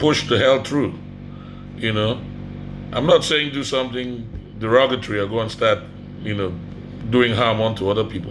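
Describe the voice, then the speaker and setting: A man with an African accent speaks at a medium pitch and a moderate pace, his tone animated. Long, frequent pauses break up his speech, with noticeable background noise and audible room echo. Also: ordinary pitch variation. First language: Ogoni. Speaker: vlogger. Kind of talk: motivational vlog. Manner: animated, emphatic.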